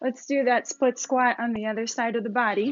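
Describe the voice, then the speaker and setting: A woman's high-pitched voice, flat and monotone, at a moderate pace. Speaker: fitness instructor. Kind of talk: exercise class instruction.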